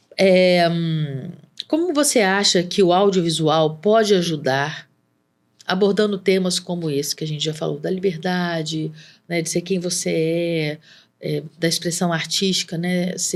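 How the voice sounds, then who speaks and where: The recording is very clean, and the background is silent. The talking proceeds at a moderate pace. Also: woman. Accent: Minas Gerais. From Minas Gerais, Brazil. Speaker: podcast host. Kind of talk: podcast interview.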